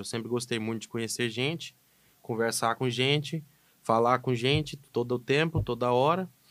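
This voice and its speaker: A man talks at a moderate pace in a normal speaking voice, his pitch medium. His intonation stays fairly even, and the very clean recording has a silent background. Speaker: animal scientist. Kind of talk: casual podcast conversation.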